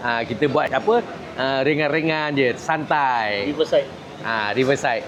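A man has a normal speaking voice with a fairly high pitch. His pace is moderate, and his pitch variation is ordinary. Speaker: party information chief and political commentator. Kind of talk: interview commentary. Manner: casual, colloquial with frequent 'ha' interjections.

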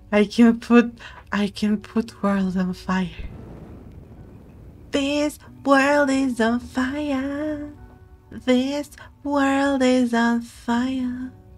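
A woman with a high pitch speaks at a very slow pace, with long, frequent pauses and ordinary pitch variation. Faint music plays in the background. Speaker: vtuber streamer. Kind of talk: casual gaming stream commentary. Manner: soft-spoken.

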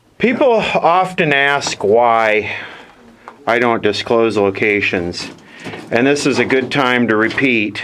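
The man talks very slowly, with noticeable noise in the background. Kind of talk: casual commentary. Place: tunnel cave. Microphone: phone near.

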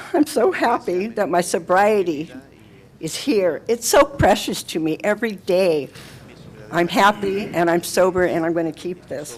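A woman talks at a fairly slow pace with lively intonation and a medium pitch. Noticeable background noise runs behind her. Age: 70s. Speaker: public commenter. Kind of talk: testimony. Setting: city council meeting.

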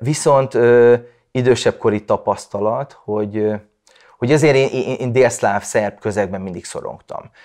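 A man at a fairly slow pace, ordinary pitch variation, quiet background. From Vojvodina, Serbia (Subotica); Vojvodina, Serbia. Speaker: writer. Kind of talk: personal testimony. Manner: halting, many repeated fillers. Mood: reflective, calm. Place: home room. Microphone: lapel.

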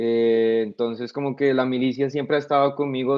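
A man talks at a fairly quick pace in a monotone, with flat intonation. The background is quiet. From Colombia, Bogotá. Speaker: soldier, war veteran. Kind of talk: casual interview. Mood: calm, reflective. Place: home room. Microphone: video call.

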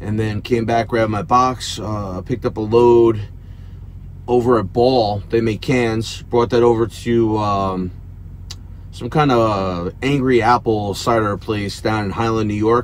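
A man at a fairly slow pace, fairly even intonation, light background noise. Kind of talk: casual vlog chat. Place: car. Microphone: headset.

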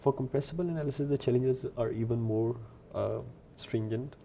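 Over light background noise, a man with a medium pitch and a dark, mellow tone sounds somewhat breathy, keeping his intonation fairly even. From Lahore, Pakistan. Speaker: PhD researcher in computational fluid dynamics. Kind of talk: technical research explanation to camera. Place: office. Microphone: lapel.

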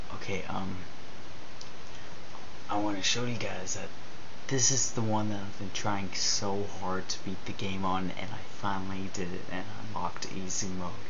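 Long, frequent pauses break up the speech, and noticeable background noise runs underneath. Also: moderate pace. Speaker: gamer vlogger. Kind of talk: let's play game commentary. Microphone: webcam.

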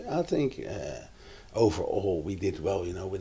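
A man with a very deep, low pitch speaks at a moderate pace, his tone dark and mellow. Vocal fry runs through his voice, with light background noise behind him. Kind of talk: interview answer. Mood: relaxed, reflective.

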